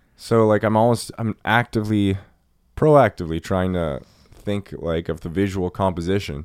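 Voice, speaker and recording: The recording is very clean with a silent background and a dry, close sound with no echo, as a man speaks at a moderate pace with ordinary pitch variation. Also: fairly low pitch for a man. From Nova Scotia, Canada (coastal). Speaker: film podcast co-host. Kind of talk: casual chat. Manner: halting, filler-heavy.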